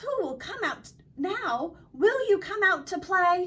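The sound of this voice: Putting on a character voice with an Australian accent, a woman speaks slowly at an extremely high pitch, with big pitch swings and a fairly bright tone. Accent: imitated Australian.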